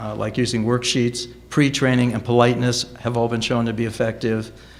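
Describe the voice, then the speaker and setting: Audible room echo around a medium-pitched male voice. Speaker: education researcher. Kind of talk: conference talk.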